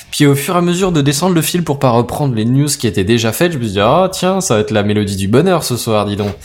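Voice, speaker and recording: Over noticeable background noise, a man talks very fast with hardly any pauses and very wide pitch swings. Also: medium pitch for a man. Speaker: podcast co-host. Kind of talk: casual tech podcast chat.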